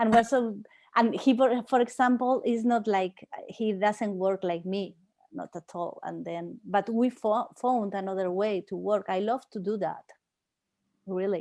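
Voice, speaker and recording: With a Spanish accent, a woman speaks at a fairly slow pace and fairly high pitch in a dark, mellow tone, her intonation fairly even and her loudness swinging widely. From southern Spain. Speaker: performance artist and professor. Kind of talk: interview Q&A. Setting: video call. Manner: halting.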